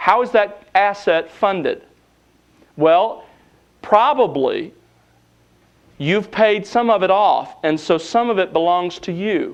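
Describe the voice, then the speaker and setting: A man with a high voice and a Southern US accent talks at a fairly slow pace, his pitch varying in an ordinary way. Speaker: seminary lecturer. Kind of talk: lecture.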